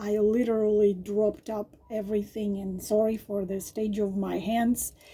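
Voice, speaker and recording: There is noticeable background noise. Through it, a woman speaks at a fairly high pitch. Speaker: tarot reader. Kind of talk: tarot reading monologue. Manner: hesitant, many fillers.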